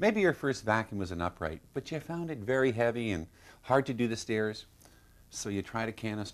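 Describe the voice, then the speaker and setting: This is a man with an unremarkable speaking voice, medium in pitch and moderate in pace. His intonation is lively, on a very clean recording with a silent background. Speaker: company founder. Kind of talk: infomercial presentation.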